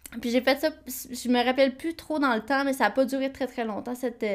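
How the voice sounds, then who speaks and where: With a Quebec accent, a woman speaks at a moderate pace and a high pitch. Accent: Québécois French. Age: 20s. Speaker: podcast co-host. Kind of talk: casual chat.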